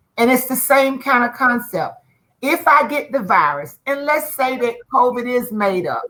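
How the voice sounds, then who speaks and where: Her voice is an unremarkable speaking voice, with a fairly high pitch for a woman and lively intonation. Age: 50s. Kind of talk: panel discussion.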